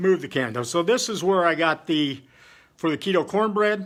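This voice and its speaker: A loud man with lively intonation at a moderate pace. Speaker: home cooking video creator. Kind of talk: casual cooking livestream.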